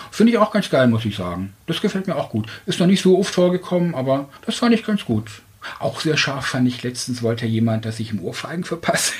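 There is noticeable background noise as a man talks at a fairly quick pace. His pitch sits in the medium range and swings very widely. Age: 40s. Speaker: dating podcast guest. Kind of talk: casual interview.

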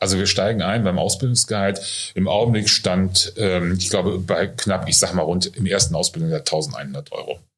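Moderate-paced speech from a man, his pitch varying in an ordinary way. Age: 50s. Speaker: nursing school director. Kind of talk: interview. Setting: on location at training centre.

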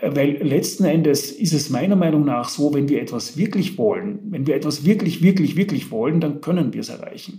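Over noticeable background noise, a man speaks at a moderate pace in a fairly high pitch with ordinary pitch variation. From Vienna, Austria. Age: 50s. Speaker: author and business coach. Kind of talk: interview. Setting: remote call.

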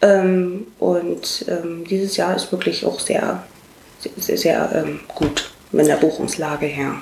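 Very slowly, a woman talks. Her voice comes with noticeable background noise and audible room echo. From eastern Germany, Cottbus (Brandenburg). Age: 30s. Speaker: make-up artist. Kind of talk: interview.

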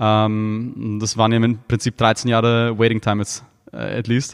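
This man speaks at a medium pitch in a monotone with flat intonation. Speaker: YouTuber and content creator. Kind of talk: podcast interview.

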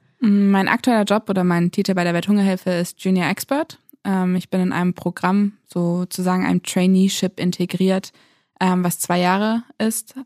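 A woman speaks in a normal speaking voice at a medium pitch and moderate pace, with fairly even intonation and very even loudness, in a dry, close sound with no echo on a very clean recording with a silent background. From Lower Saxony, Germany. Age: 20s. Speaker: aid worker. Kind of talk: interview.

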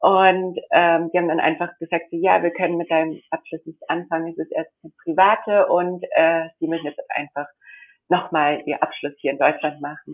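The speech moves at a moderate pace with monotone, flat intonation and big swings in loudness. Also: woman, fairly low pitch for a woman. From India. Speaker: model and confectionery entrepreneur. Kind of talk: interview. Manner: hesitant, many fillers.

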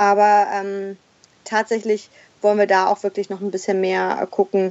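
This is a woman speaking at medium pitch. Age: 30s. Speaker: former cruise industry manager, mother living in a van. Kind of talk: interview.

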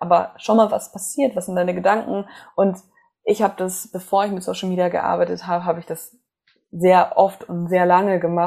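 A woman with a medium-pitched, dark, mellow voice speaks at a moderate pace in a monotone, flat intonation. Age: 20s. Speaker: psychologist and coach. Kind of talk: casual interview.

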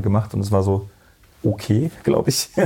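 Fairly low in pitch, a man's voice comes through somewhat breathy with a dark, mellow tone. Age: 30s. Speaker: photographer. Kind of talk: casual interview. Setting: in-person recording.

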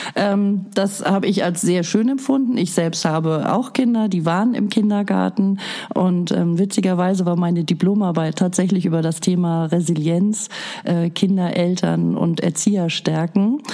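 Amid noticeable background noise, a woman talks at a fairly slow pace in a medium pitch with ordinary pitch variation and very even loudness. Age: 50s. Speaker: daycare centre director. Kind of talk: interview.

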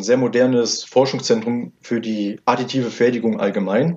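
At a fairly slow pace, a man with an unremarkable speaking voice talks in a medium pitch with ordinary pitch variation. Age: 20s. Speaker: 3D printing entrepreneur. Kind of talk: interview. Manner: formal.

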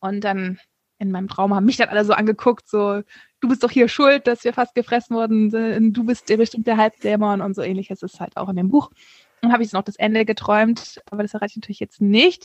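A woman's plain, everyday voice, fairly high in pitch and fairly quick, with fairly even intonation, big swings in loudness and a dry, close sound with no echo. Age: 30s. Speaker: author. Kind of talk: interview.

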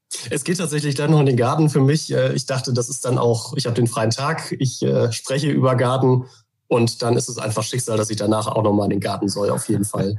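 Speaking at a fairly quick pace, a man with a normal speaking voice keeps a medium pitch and ordinary pitch variation. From Germany, Hamburg. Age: 30s. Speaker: journalist. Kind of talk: interview.

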